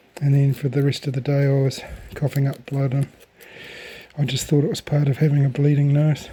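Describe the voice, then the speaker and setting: A man's monotone, flat intonation comes at a fairly quick pace amid noticeable background noise. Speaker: hobby tobacco grower. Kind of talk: casual video tutorial. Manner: hesitant, many fillers.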